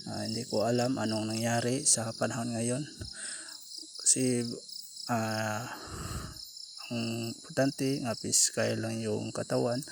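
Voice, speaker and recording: A man at a fairly slow pace. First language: Cebuano (Bisaya) (speaking Tagalog). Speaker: vlogger. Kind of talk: casual eating vlog. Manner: halting, code-switching. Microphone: far from the camera.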